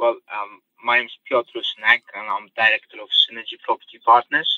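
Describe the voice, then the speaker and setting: A man with a Polish accent speaks at a moderate pace. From Poland. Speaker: property auction specialist. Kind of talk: podcast interview. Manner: hesitant, many fillers.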